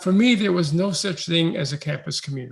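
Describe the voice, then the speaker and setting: A man with an American accent at a high pitch, fairly quick pace and ordinary pitch variation. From New York City. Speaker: education researcher. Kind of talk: talk.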